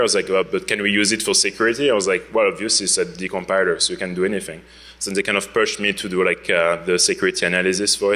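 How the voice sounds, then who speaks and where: This man speaks with a French accent. His pace is very fast, with hardly any pauses. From France. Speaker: security researcher, conference speaker. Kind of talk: conference talk. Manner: casual, many fillers.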